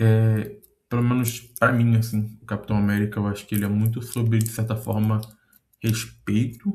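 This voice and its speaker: Here a man speaks at a moderate pace in a medium pitch, somewhat breathy. His intonation is monotone and flat. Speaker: content creator. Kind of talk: casual monologue reflection. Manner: hesitant, many fillers.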